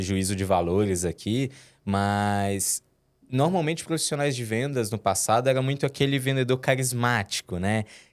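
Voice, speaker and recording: In a very clean recording with a silent background, a man talks at a moderate pace with a medium pitch and lively intonation. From interior of Minas Gerais, Brazil (Timóteo). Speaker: head of sales. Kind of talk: podcast interview. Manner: hesitant, many fillers and repetitions.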